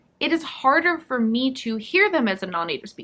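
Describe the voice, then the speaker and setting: A woman's high, raised, projected voice has a bright, sharp tone and very wide pitch swings. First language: not Korean or French (learner of both). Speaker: language learning youtuber. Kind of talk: talking-head video monologue.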